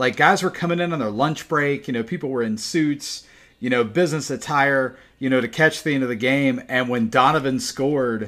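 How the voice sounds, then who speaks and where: In a plain, everyday voice, a man with an American accent talks at a fairly quick pace and medium pitch, with ordinary pitch variation, on a very clean recording with a silent background. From South Carolina, Spartanburg. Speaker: podcast host. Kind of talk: casual chat.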